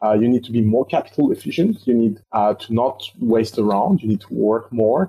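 With a French accent, a man speaks at a moderate pace and medium pitch. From France. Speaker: startup investor. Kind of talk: interview.

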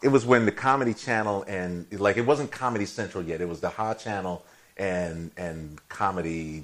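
Moderate in pace and fairly low in pitch, a man with an American accent has an unremarkable speaking voice and ordinary pitch variation. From Chicago. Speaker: TV writer and director. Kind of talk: casual chat.

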